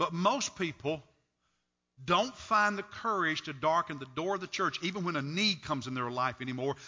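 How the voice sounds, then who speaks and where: A man with an unremarkable speaking voice talks with lively intonation. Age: 60s. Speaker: pastor. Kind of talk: sermon. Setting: church.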